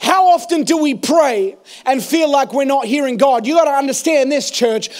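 Shouting in an animated tone with lively intonation, a man with an extremely high voice speaks fairly slowly against a quiet background. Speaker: preacher. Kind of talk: sermon. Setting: church. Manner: animated, rousing call-and-response delivery, urging the congregation to shout praise; fervent, building in intensity. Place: church. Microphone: handheld.

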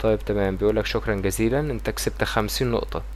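A man with a Cairo accent at a fairly quick pace, noticeable background noise behind him. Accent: Egyptian Arabic (Cairene). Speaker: YouTuber. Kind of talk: tutorial. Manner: casual.

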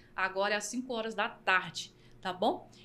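At a moderate pace, a woman speaks in an animated, bright and sharp tone. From Bahia, Brazil. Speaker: podcast host and singer; podcast host. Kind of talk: casual chat; podcast host talk to the audience. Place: studio. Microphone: studio mic.

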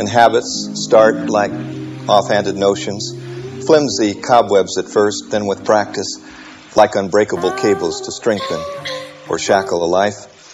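A man speaks at a fairly slow pace with long, frequent pauses while clear music plays in the background. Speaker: motivational speaker. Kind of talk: motivational speech. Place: stage.

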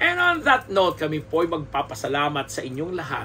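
With light background noise behind him, a man speaks at a moderate pace in a fairly high pitch. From Philippines. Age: 50s. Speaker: showbiz columnist and podcaster; showbiz commentary host. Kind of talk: solo podcast commentary. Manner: halting with many fillers and repetitions. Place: home room. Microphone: studio mic.

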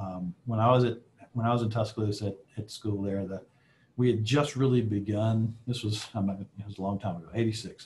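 Speaking at a fairly quick pace with an Alabama accent, a man with a fairly low, somewhat breathy voice keeps his intonation fairly even against light background noise. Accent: Southern US (Alabama). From US South, Alabama. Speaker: aerospace executive; guest. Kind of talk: guest lecture with Q&A. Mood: relaxed, friendly. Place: office. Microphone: video call.

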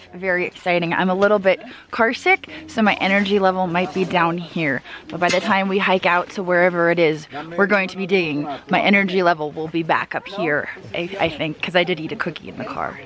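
A woman speaks at a moderate pace in a dry sound with no echo, faint music in the background. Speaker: vlogger on a metal detecting trip. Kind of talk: casual vlog chat. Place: forest. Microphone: phone near.

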